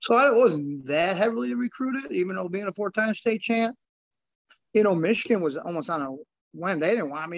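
Speaking fairly quickly, a man uses an ordinary speaking voice with an American accent. His intonation is lively. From US Midwest, Chicago south suburbs, Illinois. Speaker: former champion wrestler and grappler. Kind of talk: casual interview.

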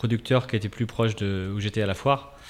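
At a fairly quick pace, a man talks in an ordinary speaking voice with medium pitch and fairly even intonation. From France, Angers. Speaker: spirulina farmer. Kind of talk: radio interview. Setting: radio studio.

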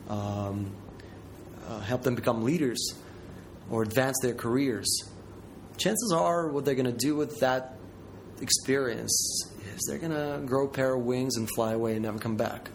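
A man with a Ukrainian accent speaks at a moderate pace, broken by long, frequent pauses. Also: medium pitch for a man, ordinary pitch variation. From south central Ukraine. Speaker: Peace Corps project manager. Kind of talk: interview. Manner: halting.

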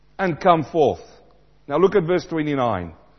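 This is a man speaking. His voice sits fairly high for a man.

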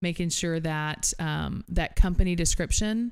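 The speaker has an American accent and fairly even intonation, in a very clean recording with a silent background. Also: woman. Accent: Southern US, stronger when talking to family. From southern Tennessee. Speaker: marketing business owner. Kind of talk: casual chat, interview.

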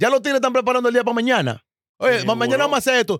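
A man with a Dominican accent, extremely high-pitched and animated, talking very fast with ordinary pitch variation in a dry, close sound with no echo. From Dominican Republic, Santo Domingo (Los Guaricanos). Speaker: podcast guest. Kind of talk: casual chat.

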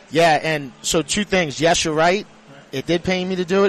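The sound is dry and close with no echo as a man speaks in a high pitch over noticeable background noise. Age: 30s. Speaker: sports social media personality. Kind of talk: casual radio interview. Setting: live at a casino sportsbook.

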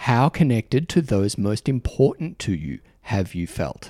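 Speaking at a fairly slow pace in an Australian accent, a man with a medium pitch and a dark, mellow tone swings very widely in pitch, with vocal fry, in a dry, close recording with no echo and a silent, very clean background. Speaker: podcast host. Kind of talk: casual chat. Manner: warm, informal, hesitant with fillers.

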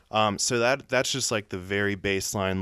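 With an American accent and a normal speaking voice, a man talks at a moderate pace and fairly low pitch with ordinary pitch variation, on a very clean recording with a silent background. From US South, north Atlanta suburbs. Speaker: writer on race. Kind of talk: casual interview chat.

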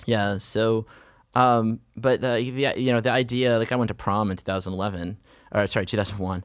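Against a quiet background, a man with an American accent uses a normal speaking voice at a medium pitch, talking at a fairly quick pace with fairly even intonation. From US, Virginia / Washington DC area. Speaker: civil rights advocate and lobbyist. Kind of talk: interview.

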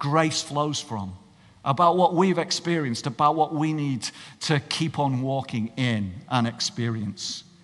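In a Cumbrian accent, a man speaks with lively intonation. His pace is fairly slow. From northern England. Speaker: pastor. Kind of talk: sermon.

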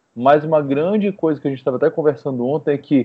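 A man talks in a plain, everyday voice. His pitch is fairly high, with ordinary variation. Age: 20s. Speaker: nutritionist. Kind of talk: casual chat.

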